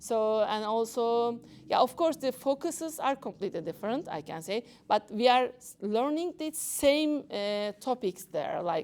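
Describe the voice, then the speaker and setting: Fairly high-pitched female voice in a Turkish accent, fairly slow, with very wide pitch swings and big swings in loudness, on a very clean recording with a silent background. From Turkey. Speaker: doctor. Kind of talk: talk to an audience. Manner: halting.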